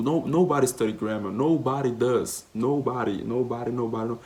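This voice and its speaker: At a moderate pace, a man speaks with a Portuguese accent and ordinary pitch variation. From Brazil, Minas Gerais. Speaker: vlogger, language learner. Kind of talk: casual vlog monologue. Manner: animated, frequent repetitions and fillers.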